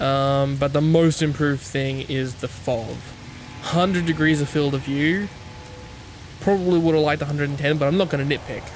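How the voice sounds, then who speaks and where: Over noticeable background noise, a man with an Australian accent talks at a fairly quick pace in a fairly high pitch. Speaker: gaming YouTuber. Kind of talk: gameplay commentary. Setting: home recording at night. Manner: quiet; casual, hesitant.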